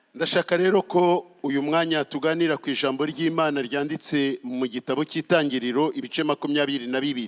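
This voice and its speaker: A plain, everyday voice from a man, fairly high in pitch, with fairly even intonation, a moderate pace, hardly any pauses, and a dry, close sound with no echo. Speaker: pastor. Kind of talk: sermon.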